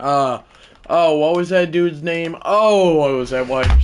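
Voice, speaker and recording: A man's voice with ordinary pitch variation, over noticeable background noise. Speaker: gaming live streamer. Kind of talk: live gameplay commentary. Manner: casual, rambling with fillers.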